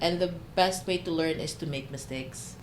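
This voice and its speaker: A woman's very deep, low voice at a moderate pace, lively in intonation, with audible room echo. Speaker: podcast guest. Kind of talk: casual chat. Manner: loud.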